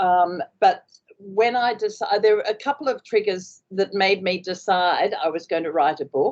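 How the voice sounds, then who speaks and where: A woman speaks with an Australian accent at a moderate pace. Her pitch is medium, with ordinary variation. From Australia, Queensland. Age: 70s. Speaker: author, former station wife and nurse. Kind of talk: interview. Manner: halting, many fillers.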